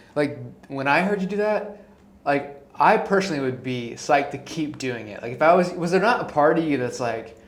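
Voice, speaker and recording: The intonation is lively and rises and falls freely. Room echo is audible, and there is noticeable background noise. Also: man, fairly high pitch for a man, moderate pace. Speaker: guest interviewer, friend of podcast host. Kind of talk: casual chat. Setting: home apartment studio. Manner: animated.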